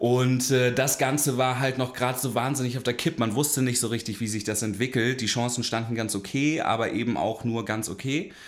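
Speaking at a fairly quick pace with hardly any pauses, a man keeps his intonation fairly even. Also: medium pitch for a man. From northern Germany, Hamburg. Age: 30s. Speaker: podcast host, recovering addict. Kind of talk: casual chat, personal testimony.

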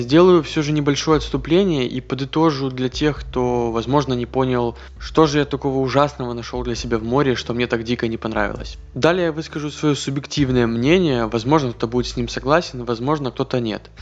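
A man talks with hardly any pauses. Noticeable background noise runs under his voice. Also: medium pitch for a man, ordinary pitch variation, fairly quick pace. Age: 20s. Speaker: podcast host, former ship officer. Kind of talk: solo monologue podcast. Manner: casual, conversational.

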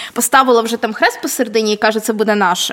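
At a very fast pace, a woman speaks in a high voice. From Vinnytsia, Ukraine. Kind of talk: casual chat. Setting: large hall, basement.

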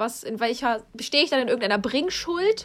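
A woman talks at a moderate pace with a high pitch. The recording is very clean, with a silent background. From Hesse, Rüsselsheim. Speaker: podcast co-host. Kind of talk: casual chat.

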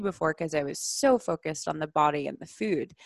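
A woman speaks at a moderate pace with lively intonation, in a normal speaking voice. The recording is very clean, with a silent background. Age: 20s. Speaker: somatic sexologist. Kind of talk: casual chat.

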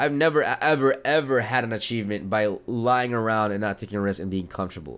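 A man with a plain, everyday voice talks at a fairly quick pace with ordinary pitch variation. The recording is very clean, with a silent background. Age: 20s. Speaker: podcast host, online marketing entrepreneur. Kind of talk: solo motivational monologue. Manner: casual, with frequent fillers and repetitions.

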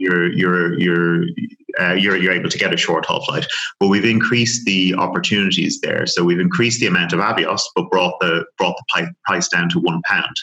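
A man with a Dublin accent at a moderate pace. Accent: Irish (Dublin). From Ireland, Dublin. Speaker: airline loyalty manager. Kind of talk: interview. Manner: halting, many repetitions.

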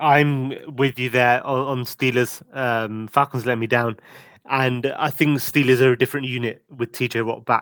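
A man with an English accent, medium pitch and monotone, flat intonation. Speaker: podcast co-host. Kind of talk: casual chat.

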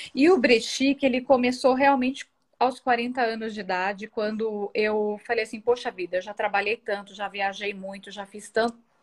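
Speaking at a moderate pace with hardly any pauses, a woman uses a fairly high pitch and ordinary pitch variation. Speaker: thrift store owner and image consultant. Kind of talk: interview.

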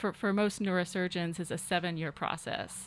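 A woman with an American accent and an unremarkable speaking voice speaks at medium pitch and a moderate pace, her intonation fairly even. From US South, Arkansas (Fort Smith, Ozarks). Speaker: neurosurgeon. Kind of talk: radio interview. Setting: radio studio.

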